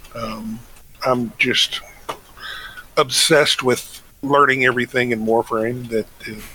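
At a fairly slow pace, the speech comes through noticeable background noise. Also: man. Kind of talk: casual podcast chat.

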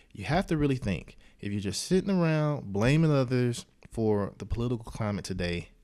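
A dark, mellow tone at a fairly quick pace, with very wide pitch swings. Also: man. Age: 20s. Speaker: podcast host and speaker. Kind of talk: motivational talk.

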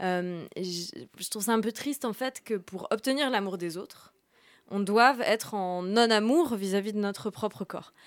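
An ordinary speaking voice, a woman's at medium pitch, moves at a fairly slow pace with ordinary pitch variation on a very clean recording with a silent background. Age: 30s. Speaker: journalist and author. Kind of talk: radio interview. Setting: studio.

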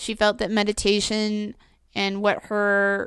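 A woman speaks with monotone, flat intonation. The background is quiet. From New Mexico. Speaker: witchcraft practitioner. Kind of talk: casual chat.

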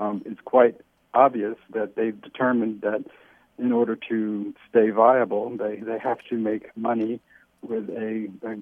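This man's intonation is monotone and flat. He talks at a fairly slow pace. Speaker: newspaper editor. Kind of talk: interview. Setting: phone call. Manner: halting.

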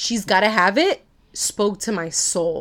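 A plain, everyday voice with lively intonation goes at a fairly slow pace on a very clean recording with a silent background. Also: woman. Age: 30s. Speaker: podcast co-host. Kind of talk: casual chat.

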